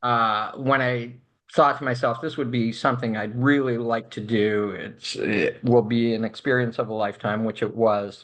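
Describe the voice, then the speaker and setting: Pitch varies in an ordinary way at a moderate speed. Nothing but quiet lies behind it. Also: man. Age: 60s. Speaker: space tourist and activist. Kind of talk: interview. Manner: halting.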